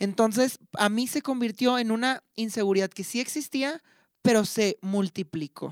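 A woman's fairly high voice at a fairly slow pace, ordinary pitch variation, a plain, everyday voice, dry close sound with no echo. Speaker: podcast co-host. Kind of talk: casual chat. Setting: university studio.

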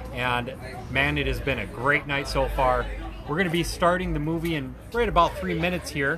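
A man speaks at a moderate speed. Behind him, music can be heard. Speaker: audio-visual production company owner. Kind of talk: casual promotional talk. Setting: live at the event venue.

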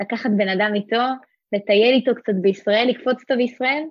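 A woman speaks at a moderate pace with ordinary pitch variation. It is a normal speaking voice. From Israel, Rosh HaAyin. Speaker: former community emissary. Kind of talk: interview.

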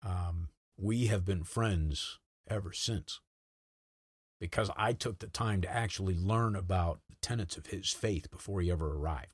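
In a very clean recording with a silent background, a man with an American accent talks at a moderate pace in a very deep, low, somewhat breathy voice with ordinary pitch variation. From Rhode Island, US. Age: 50s. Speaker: retired army sergeant major. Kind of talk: casual interview over drinks.

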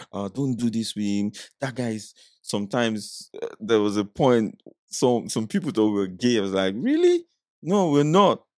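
Speaking with a Nigerian accent, a man keeps a moderate pace at medium pitch with ordinary pitch variation. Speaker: skit comedian. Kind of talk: casual chat. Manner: playful, animated.

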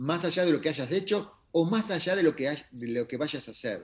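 Using an ordinary speaking voice, a man talks at a moderate pace with fairly high pitch and lively intonation. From Argentina. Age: 60s. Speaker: astrologer. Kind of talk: interview conversation.

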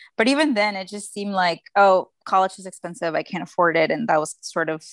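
A medium-pitched woman with a Spanish accent, fairly quick with hardly any pauses and big swings in loudness, on a very clean recording with a silent background and a dry, close sound with no echo. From Mexico, Guadalajara. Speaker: former student, policy professional. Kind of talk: casual interview.

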